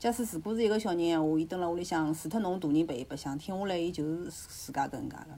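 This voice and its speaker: A woman talks at a very fast pace with a fairly low pitch. Her pitch varies in an ordinary way. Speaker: podcast guest. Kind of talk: casual chat.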